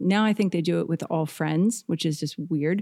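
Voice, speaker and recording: A woman speaks with a dark, mellow tone and ordinary pitch variation. The recording is very clean, and the background is silent. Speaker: jazz singer. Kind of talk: casual interview chat. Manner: playful, joking.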